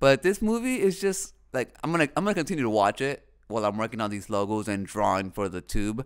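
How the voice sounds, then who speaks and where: Very fast speech with hardly any pauses and very wide pitch swings, in a very clean recording with a silent background. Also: man, medium pitch for a man. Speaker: podcast host. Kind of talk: casual solo talk. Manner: halting.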